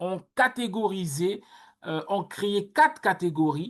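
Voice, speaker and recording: The pace is very slow against a quiet background. A woman with a medium pitch uses lively intonation. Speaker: workshop coach. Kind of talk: online workshop talk. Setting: video call. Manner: loud.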